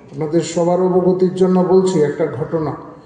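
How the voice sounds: The voice has a dark, mellow tone and fairly even intonation at a fairly quick pace. Strong room echo surrounds it. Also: man, fairly high pitch for a man.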